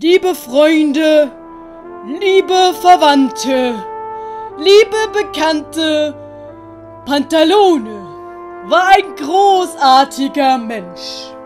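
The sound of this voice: A put-on character voice moves at a very slow pace with lively intonation and a slightly mellow tone. Faint music plays in the background. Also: woman, high pitch for a woman.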